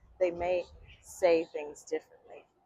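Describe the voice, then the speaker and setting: A woman with an American accent, in a dry, close recording with no echo. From Chicago. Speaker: English teacher. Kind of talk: vlog-style English lesson talk to camera. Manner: slow, clear.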